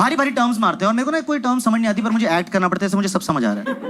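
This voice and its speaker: A man is speaking. Noticeable noise can be heard behind him. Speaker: stand-up comedian. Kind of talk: stand-up comedy set. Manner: agitated, ranting.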